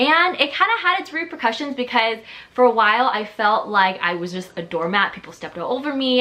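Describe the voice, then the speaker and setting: Over noticeable background noise, a woman talks very fast with very wide swings in pitch. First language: Chinese. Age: 20s. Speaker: lifestyle YouTuber. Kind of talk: casual vlog talk to camera.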